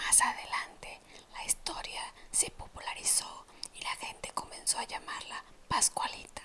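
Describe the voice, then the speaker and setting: Over noticeable background noise, someone is whispering at a fairly slow pace. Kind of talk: ASMR whispered storytelling of urban legends. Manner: whispered, soft-spoken.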